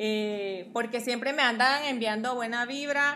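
Bright, sharp tone with audible room echo. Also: woman. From Guatemala. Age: 30s. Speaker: model and social media influencer. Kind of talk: casual chat. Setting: at her home, also live on TikTok.

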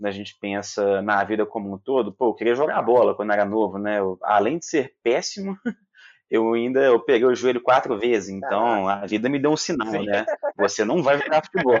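Speaking with a Minas Gerais accent, a man at medium pitch goes at a fairly quick pace with ordinary pitch variation. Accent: noticeable mineiro. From Minas Gerais, Brazil. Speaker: podcast host and company founder. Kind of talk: casual interview.

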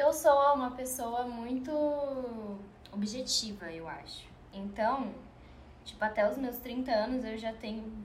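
A high-pitched woman speaks at a very slow pace with ordinary pitch variation and long, frequent pauses. Audible room echo and noticeable background noise are present. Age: 20s. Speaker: podcast guest, friend of host. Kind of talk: casual chat.

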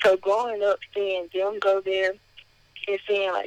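In a Southern US accent, a woman speaks at a moderate pace with monotone, flat intonation, recorded with a dry, close sound and no echo. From Mississippi (Kilmichael, rural). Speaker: college student and vlogger. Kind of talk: casual interview.

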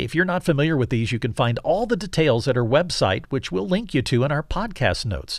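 In a very clean recording with a silent background, a man speaks at a fairly high pitch with vocal fry and very wide pitch swings. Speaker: radio host. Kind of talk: radio interview.

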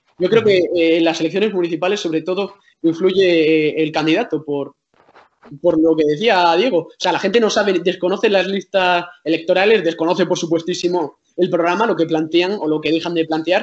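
With fairly even intonation, a man talks at a high pitch. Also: moderate pace. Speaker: journalist. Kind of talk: casual chat.

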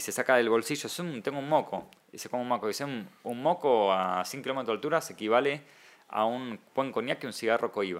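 With an unremarkable speaking voice, a man talks at a fairly quick pace and medium pitch, with ordinary pitch variation and big swings in loudness. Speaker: comic artist and writer. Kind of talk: casual interview.

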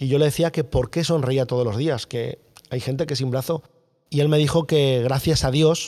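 A man with a central Spanish accent, a dark, mellow tone and a fairly quick pace. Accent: central Peninsular Spanish. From central Spain, Guadalajara. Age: 40s. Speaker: long-distance cycling traveller. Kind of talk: interview storytelling.

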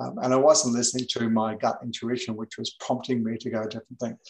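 A man of medium pitch talks at a very fast pace. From New Zealand, raised in England. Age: 70s. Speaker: author and life coach. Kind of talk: interview conversation. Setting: remote call.

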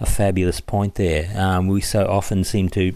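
With an Australian accent, a man talks in a very deep, low pitch and a dark, mellow tone. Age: 50s. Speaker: podcast host. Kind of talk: casual monologue.

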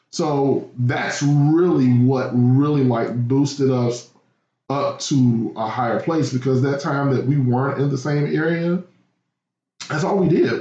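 A man speaks fairly slowly in a fairly high, somewhat breathy voice with fairly even intonation. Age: 30s. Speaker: podcast guest. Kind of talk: casual chat.

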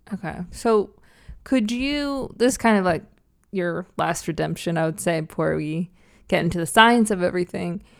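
A woman with a fairly low voice speaks in a normal speaking voice at a moderate pace. Her intonation is lively, and the recording is very clean with a silent background. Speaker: podcast co-host. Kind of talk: comedic casual banter, satirical podcast.

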